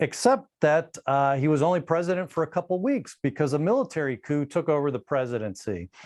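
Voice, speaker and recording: Lively intonation marks this man's fairly high voice as he speaks at a fairly quick pace with very even loudness against a quiet background. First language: Spanish. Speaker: gun rights advocate and author. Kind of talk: podcast interview.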